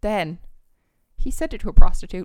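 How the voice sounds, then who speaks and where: This woman's voice sits at a medium pitch. Her pitch swings very widely. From northern England. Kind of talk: casual chat. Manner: chatty and joking.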